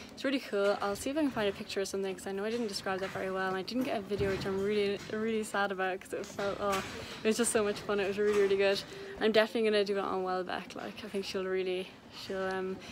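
A woman talks at a very fast pace with fairly even intonation, with noticeable background noise behind her. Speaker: equestrian vlogger. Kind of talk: casual vlog chat. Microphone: phone near.

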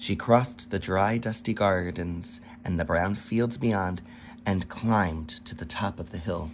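A natural voice reads the passage aloud, its pitch moving by an ordinary degree.

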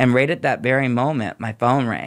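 In a very clean recording with a silent background, a man uses an ordinary speaking voice at medium pitch and a moderate pace. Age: 50s. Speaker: nurse practitioner in addiction recovery. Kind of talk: personal testimony.

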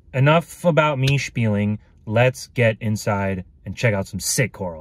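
Over music in the background, a man speaks at a fairly slow pace with lively intonation, the sound dry with no echo. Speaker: hobby vlogger. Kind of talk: casual vlog chat. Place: car. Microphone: phone near.

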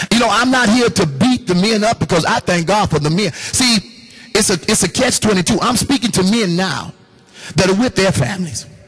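A man's high-pitched voice sounds animated, with very even loudness throughout. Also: ordinary pitch variation, moderate pace. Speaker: pastor. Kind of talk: sermon. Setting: church with congregation. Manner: animated, call-and-response preaching with laughs and exhortation. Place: hall. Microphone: handheld.

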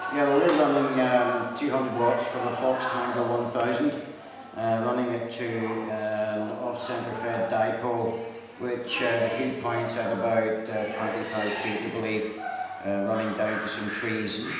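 A man talks at a fairly slow pace with audible room echo and loud background noise around him. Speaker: radio operator. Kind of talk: amateur radio contact. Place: hall.

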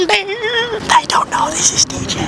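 Quiet speech at a moderate pace sounds dry with no echo, set against loud background noise. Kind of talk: casual vlog chat, aside to camera. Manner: hushed aside behind hand to camera. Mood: conspiratorial, playful. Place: street. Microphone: phone near.

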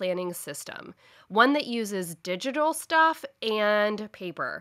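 A woman speaks in a bright, sharp, animated tone at a fairly high pitch, her voice making very wide pitch swings over a quiet background. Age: 30s. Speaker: podcast host, planner business owner; podcast host. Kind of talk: solo podcast tutorial. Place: home room.

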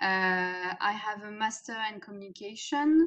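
A woman with a French accent speaks at a medium pitch. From France. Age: 30s. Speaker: executive coach. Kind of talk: interview. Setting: video call. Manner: hesitant, many fillers. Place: home room. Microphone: webcam.

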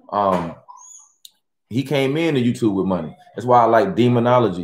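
The speech moves at a moderate pace. Room echo is audible over a quiet background. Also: man. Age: 40s. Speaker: YouTuber hosting a livestream. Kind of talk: casual live stream chat with viewers. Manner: animated. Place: home room.

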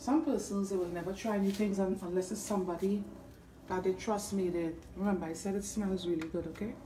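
A woman with a Trinidadian accent speaks at a fairly quick pace, her pitch medium and her intonation fairly even. Noticeable background noise runs under her voice. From Trinidad and Tobago. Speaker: home cook and food video creator. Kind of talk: cooking tutorial. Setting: home kitchen. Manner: casual, hesitant with frequent fillers.

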